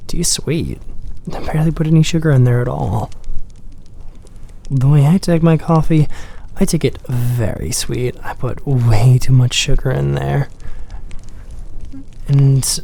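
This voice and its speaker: Against noticeable background noise, a soft-spoken man talks at a fairly slow pace. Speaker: ASMR creator. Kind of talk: soft-spoken ASMR coffee shop roleplay.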